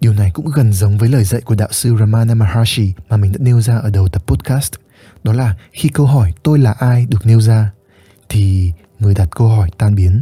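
A man's medium-pitched, dark and mellow voice, somewhat breathy, with ordinary pitch variation, very even loudness and a moderate pace. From northern Vietnam, Hanoi. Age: 20s. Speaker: podcast host, content creator. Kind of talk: reflective solo podcast monologue.

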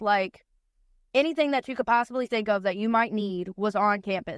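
A woman's fairly high pitch and fairly even intonation, in a dry, close sound with no echo on a very clean recording with a silent background. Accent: North Carolina. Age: 20s. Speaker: guest. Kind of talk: casual chat.

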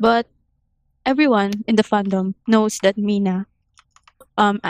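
A woman's medium-pitched voice with a Filipino accent, at a moderate pace, in a dry, close sound with no echo. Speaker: AOA fan. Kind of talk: casual chat.

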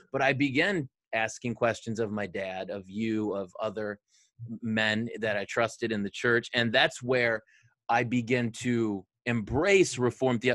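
A man with a Michigan accent talks at a fairly slow pace and medium pitch with ordinary pitch variation, in a dry, close sound with no echo. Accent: Michigan (Inland North) American. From Detroit area, Michigan. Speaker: pastor, podcast co-host. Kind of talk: casual chat between co-pastors, doctrine and football.

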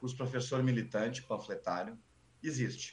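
The man talks at a medium pitch. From Porto Alegre, Brazil (Sarandi). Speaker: history teacher and stand-up comedian. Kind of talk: casual chat. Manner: animated.

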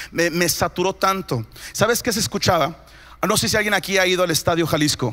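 Fairly quick and animated, a man speaks at a high pitch for a man with a bright, sharp tone, very even loudness and ordinary pitch variation. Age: 30s. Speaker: pastor. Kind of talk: sermon. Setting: church.

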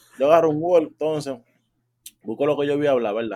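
With ordinary pitch variation, this man's voice carries a dark, mellow tone. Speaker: podcast host, university student. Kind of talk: casual chat. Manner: animated.

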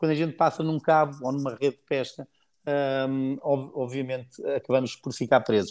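This man's pitch sits fairly high. He speaks at a moderate pace. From Portugal, Cascais. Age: 50s. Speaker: former Olympic sailor, sailing project founder. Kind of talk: casual interview. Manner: hesitant, frequent repetitions.

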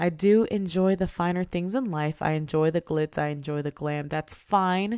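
A woman with an American accent has an ordinary speaking voice, fairly low in pitch with ordinary pitch variation. She talks at a moderate pace on a very clean recording with a silent background. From DMV area (Washington DC, Maryland, Virginia). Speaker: podcast host and influencer. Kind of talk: casual solo monologue.

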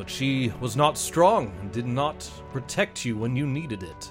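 A man's booming, put-on character voice at medium pitch and moderate pace, with clear music in the background. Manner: questioning, solemn.

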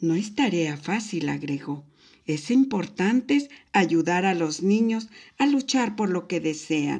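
The intonation moves in a lively way. A person reads aloud in a natural voice.

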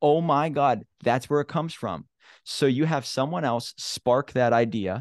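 A man speaks at a medium pitch and a moderate pace, with an animated tone and ordinary pitch variation. The sound is dry and close with no echo, over a quiet background. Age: 30s. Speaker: book publisher and entrepreneur. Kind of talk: casual interview.

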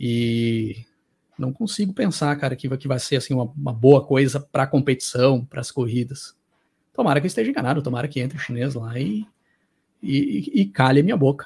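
A man with a Brazilian accent speaks at a fairly quick pace and medium pitch, somewhat breathy, with ordinary pitch variation. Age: 30s. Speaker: YouTuber on motorsport and music. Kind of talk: interview conversation. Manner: animated.

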